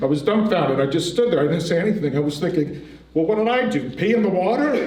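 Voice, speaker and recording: A high-pitched man with lively intonation, audible room echo and noticeable background noise. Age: 60s. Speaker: storyteller at community event. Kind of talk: personal storytelling.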